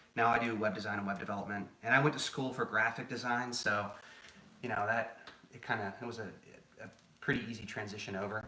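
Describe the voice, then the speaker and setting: A man, medium-pitched, with an American accent, very fast yet with long, frequent pauses, flat and monotone, amid audible room echo and noticeable background noise. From New England, Boston. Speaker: home cook, former chef. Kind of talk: live cooking stream chat. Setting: home kitchen live stream. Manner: calm, soothing; casual, conversational.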